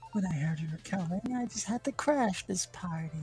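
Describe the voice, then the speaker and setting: Someone uses a put-on character voice at a middle pitch, with clear background noise behind it. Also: fairly quick pace. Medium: game stream. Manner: smug, taunting.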